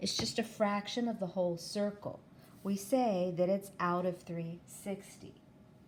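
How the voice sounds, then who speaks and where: This woman has an unremarkable speaking voice at a medium pitch. She talks at a fairly slow pace with fairly even intonation. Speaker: math teacher. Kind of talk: tutorial.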